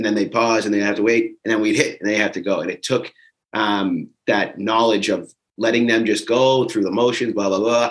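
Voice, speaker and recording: Fairly low in pitch, a man talks in a plain, everyday voice with fairly even intonation. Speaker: fitness bootcamp coach. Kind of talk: casual recap chat.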